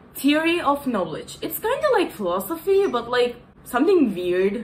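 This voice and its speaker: A woman speaks at a moderate pace with very wide pitch swings. There is noticeable background noise. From Turkey. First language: Turkish. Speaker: content creator. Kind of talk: casual tutorial vlog. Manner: animated, casual.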